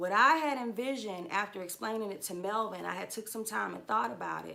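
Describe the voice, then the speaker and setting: Audible room echo surrounds a woman speaking at a fairly quick pace. Her voice sits at medium pitch with a bright, sharp tone. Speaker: trucker and livestream host. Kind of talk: livestream monologue.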